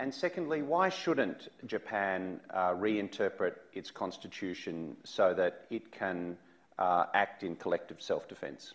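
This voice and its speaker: With an Australian accent, a man speaks at a fairly slow pace against a quiet background. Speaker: think tank director, interviewer. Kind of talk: public interview. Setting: stage with audience. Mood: challenging but polite. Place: stage. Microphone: lapel.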